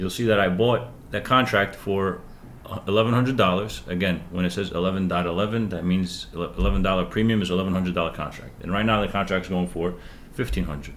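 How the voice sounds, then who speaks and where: A man talks very fast in a very deep, low pitch with vocal fry. His pitch varies in an ordinary way, and audible room echo surrounds him. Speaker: stock trading coach. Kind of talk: live trading tutorial. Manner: animated.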